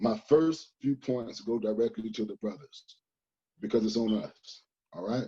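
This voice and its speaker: This man has a dark, mellow tone and a medium pitch. He talks at a fairly slow pace with ordinary pitch variation. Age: 30s. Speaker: lawyer and community youth leader.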